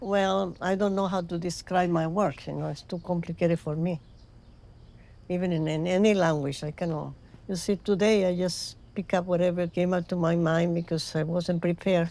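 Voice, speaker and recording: At a moderate pace, a woman with a Spanish accent speaks in a dark, mellow tone at a fairly low pitch, with monotone, flat intonation. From Venezuela. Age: 80s+. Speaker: ceramic artist. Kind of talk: interview. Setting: studio.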